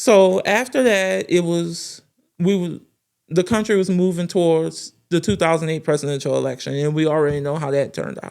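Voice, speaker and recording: With a New Orleans accent, a woman speaks at a fairly low pitch and moderate pace with ordinary pitch variation, in a very clean recording with a silent background. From New Orleans, Louisiana. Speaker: political news commentator. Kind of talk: political commentary monologue.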